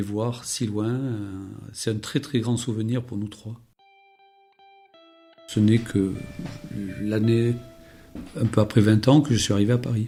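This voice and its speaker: Music in the background behind a man's medium-pitched voice, very slow and monotone with flat intonation. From Béarn, France. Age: 60s. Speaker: retired telecom worker. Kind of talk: podcast interview answer. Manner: hesitant, many fillers.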